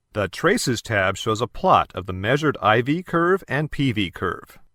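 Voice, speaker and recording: This man's bright, sharp voice swings very widely in pitch, captured dry and close with no echo on a very clean recording with a silent background. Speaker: voice actor. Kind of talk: corporate training narration.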